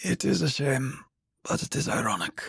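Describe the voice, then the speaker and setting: A man's raspy, put-on character voice, fairly high in pitch, at a moderate pace, with a dry, close sound and no echo. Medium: read story. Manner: nonchalant, quick.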